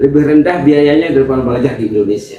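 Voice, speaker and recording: A man's voice with ordinary pitch variation. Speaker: university lecturer, visiting speaker. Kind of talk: speech to pesantren students. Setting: Islamic boarding school gathering. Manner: halting, repetitive.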